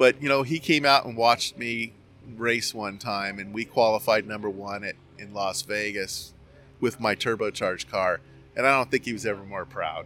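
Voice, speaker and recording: With an American accent, a man speaks at medium pitch and a moderate pace in a bright, sharp tone, with ordinary pitch variation and big swings in loudness, on a very clean recording with a silent background. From Southern California, Orange County. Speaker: drag racer and car builder. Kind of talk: casual interview.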